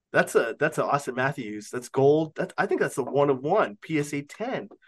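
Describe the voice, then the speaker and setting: Against a quiet background, a man with a Canadian accent speaks at a moderate pace. He has an unremarkable speaking voice at a fairly high pitch. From Canada. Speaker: sports card auction house owner. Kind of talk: casual chat.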